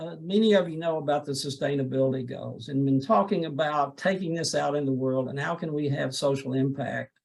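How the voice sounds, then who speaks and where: A man's fairly high voice at a fairly quick pace, with hardly any pauses. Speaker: professor. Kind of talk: academic presentation. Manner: halting.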